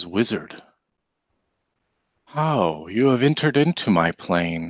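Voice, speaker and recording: A man puts on a character voice, pitched fairly low. He speaks at a fairly slow pace against a quiet background. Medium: actual play. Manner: solemn, summoning.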